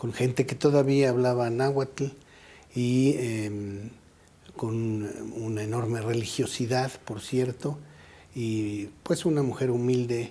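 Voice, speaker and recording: In a central Mexican accent, a man with a medium pitch and a dark, mellow tone speaks very slowly with fairly even intonation and long, frequent pauses. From Mexico City. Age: 60s. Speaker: anthropologist, head of a national heritage institute. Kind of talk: interview.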